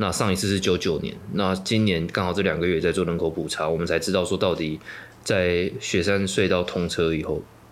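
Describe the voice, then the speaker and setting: A man's very deep, low voice, flat and monotone. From Taiwan, Yilan. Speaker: activist and political organizer. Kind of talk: interview.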